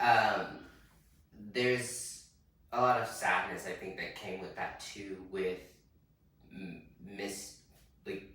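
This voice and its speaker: Audible room echo surrounds a man with an American accent who speaks very slowly at a fairly low pitch, with fairly even intonation and long, frequent pauses. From US Midwest, Wichita, Kansas. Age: 20s. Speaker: drag performer. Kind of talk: interview.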